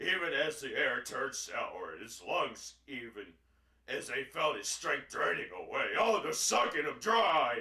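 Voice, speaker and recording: A man performs a raspy, put-on character voice with a slight echo. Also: moderate pace. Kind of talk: comic horror reading. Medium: read story. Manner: sarcastic, overacted.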